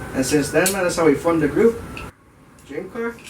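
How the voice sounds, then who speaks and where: With an American accent, a man speaks at a fairly high pitch and ordinary pitch variation. Noticeable background noise and audible room echo fill the recording. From US West Coast, Bay Area (Oakland). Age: 20s. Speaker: car enthusiast group member. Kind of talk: casual self-introduction. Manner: casual, laid-back.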